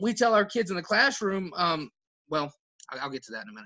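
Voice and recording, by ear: Speaking at a fairly quick pace, a man uses lively intonation and a bright, sharp tone.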